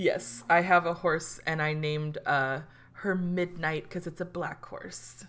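A woman talks in an animated tone. Her fairly low voice has big swings in loudness. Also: fairly slow pace. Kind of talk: casual chat, comedic storytelling about an infomercial game night. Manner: animated, laughing, gleefully riffing.

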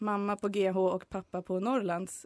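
A woman talks at a moderate pace and medium pitch with monotone, flat intonation. The background is quiet, and the sound is dry and close with no echo. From Sweden, Hälsingland. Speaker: student, student nation volunteer. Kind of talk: casual interview.

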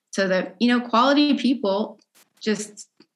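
A woman with an American accent speaks at a moderate pace in an ordinary speaking voice with lively intonation. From Texas, Dallas suburbs. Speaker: percussion educator and composer. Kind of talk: casual interview chat. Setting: video call.

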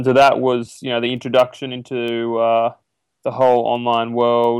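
A man with an Australian accent speaks at a fairly slow pace. His pitch is medium, and the recording is very clean with a silent background. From Australia, rural New South Wales. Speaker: online business broker. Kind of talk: interview.

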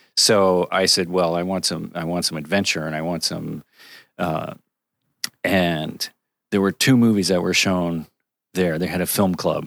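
With long, frequent pauses and fairly even intonation, a man talks at a fairly slow pace in a very deep, low voice on a very clean recording with a silent background. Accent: American. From Connecticut, US Northeast. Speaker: cinematographer. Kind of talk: casual interview.

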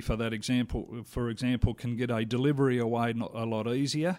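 Delivery comes at a fairly quick pace in a monotone, flat intonation. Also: man. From Australia. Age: 50s. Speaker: lawn bowls association official and player. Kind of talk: interview. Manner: casual, hesitant with fillers.

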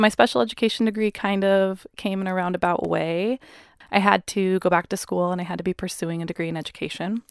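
A woman with a West Coast accent talks very fast at medium pitch with ordinary pitch variation. The sound is dry and close with no echo, on a very clean recording with a silent background. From US Pacific Northwest (Puyallup, Washington). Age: 20s. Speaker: high school teacher and mother. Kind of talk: personal testimony in interview.

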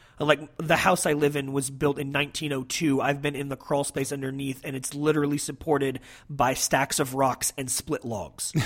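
With an American accent, a man speaks at a moderate pace in a fairly high, monotone, flat voice, hardly pausing at all. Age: 30s. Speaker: podcast host. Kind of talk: casual chat. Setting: remote call.

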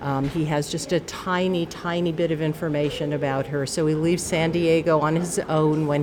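A woman speaks at a fairly slow pace with a very deep, low pitch. Noticeable background noise is present. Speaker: book group member. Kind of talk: casual book recommendation.

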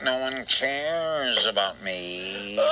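The speaker uses a put-on character voice. Clear background noise runs underneath. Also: man, medium pitch for a man. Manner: snide.

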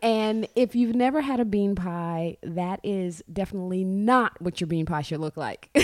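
A woman speaks in a normal speaking voice at medium pitch and a moderate pace, with ordinary pitch variation and hardly any pauses, on a very clean recording with a silent background. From Brooklyn, New York. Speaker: baker and fitness entrepreneur. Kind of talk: radio interview.

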